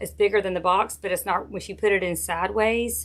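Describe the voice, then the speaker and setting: A woman with a Southern US accent speaks at a medium pitch in monotone, flat intonation with vocal fry. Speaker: wreath maker and craft tutor. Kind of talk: live craft tutorial with viewer chat. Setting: Facebook live stream. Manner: casual, chatty.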